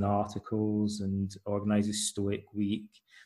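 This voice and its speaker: Speaking slowly-ish in a Scottish accent, a man has a dark, mellow tone, a fairly low pitch and a somewhat breathy quality. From Scotland. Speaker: author and psychotherapist. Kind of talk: interview conversation.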